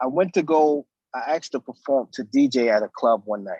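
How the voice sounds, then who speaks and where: A man's fairly high voice with a New York accent, at a moderate pace, in a dry, close sound with no echo. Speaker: DJ and music producer. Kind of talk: interview. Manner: casual, halting with fillers.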